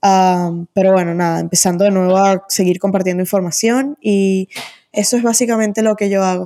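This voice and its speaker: Medium pitch from a woman, a dark, mellow tone, a moderate pace, very even loudness and fairly even intonation. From Venezuela. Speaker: e-commerce agency founder. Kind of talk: interview.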